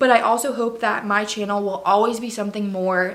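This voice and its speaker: A woman speaks in an animated tone at a medium pitch, with noticeable background noise and audible room echo. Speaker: faith and lifestyle vlogger. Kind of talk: casual vlog monologue. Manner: fast.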